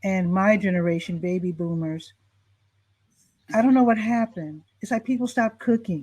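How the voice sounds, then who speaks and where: With an American accent, a woman speaks at a moderate pace in a dark, mellow, somewhat breathy tone, with ordinary pitch variation and long, frequent pauses. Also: medium pitch for a woman. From Chicago, US Midwest. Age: 60s. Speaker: talk show host. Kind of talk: interview.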